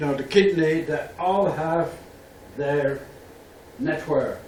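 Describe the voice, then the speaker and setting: Audible room echo and noticeable background noise surround a man with a fairly high pitch who speaks at a fairly slow pace with ordinary pitch variation. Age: 70s. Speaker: professor. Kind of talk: lecture.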